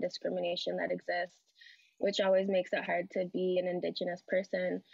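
A woman's voice, dry and echo-free, against a quiet background. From Edmonton, Alberta; Alberta. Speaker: panelist. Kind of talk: personal talk. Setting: video call. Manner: casual, laughs often. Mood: earnest, reflective. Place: home room. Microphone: video call.

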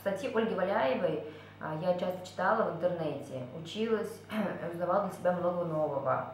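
Long, frequent pauses and ordinary pitch variation come through with audible room echo and light background noise. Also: woman, fairly low pitch for a woman, moderate pace. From Kazakhstan. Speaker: course participant giving a testimonial. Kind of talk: testimonial monologue. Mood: calm, reflective. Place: home room. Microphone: webcam.

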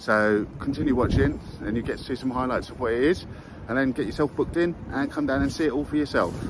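With noticeable background noise and a dry sound with no echo, a man races along at a very fast pace with ordinary pitch variation. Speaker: vlogger. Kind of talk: casual vlog chat. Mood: upbeat and friendly. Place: street. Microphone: phone near.

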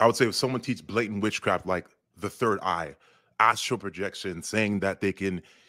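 The recording is very clean with a silent background, carrying a normal speaking voice with ordinary pitch variation. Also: man. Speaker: online discussion participant. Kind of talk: casual discussion.

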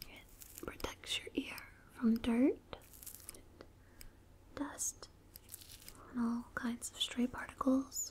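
Someone whispers at a very slow pace, with long, frequent pauses and big swings in loudness. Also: woman. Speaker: role-play ear doctor. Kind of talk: ASMR role play. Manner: whispered. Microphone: studio mic.

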